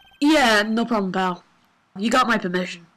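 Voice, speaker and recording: A strained, gruff put-on character voice moves along at a moderate pace. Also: woman, fairly high pitch for a woman. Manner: casual, friendly.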